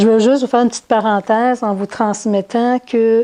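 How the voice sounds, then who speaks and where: Speaking with a Quebec accent, a woman uses a dark, mellow tone and a monotone, flat intonation. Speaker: spiritual teacher. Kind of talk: talk to an audience. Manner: halting.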